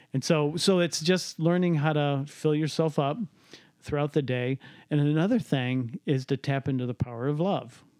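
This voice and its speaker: With an American accent in a normal speaking voice, a man of fairly high pitch talks at a moderate pace with ordinary pitch variation, the sound dry and close with no echo on a very clean recording with a silent background. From US Midwest, Cleveland. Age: 50s. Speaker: entrepreneur and business coach. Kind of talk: casual interview conversation with son.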